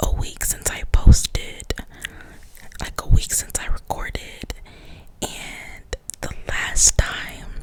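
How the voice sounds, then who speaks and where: A woman whispers at a very slow pace against noticeable background noise. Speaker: nursing student. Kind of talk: ASMR whispered casual talk to camera. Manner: whispered.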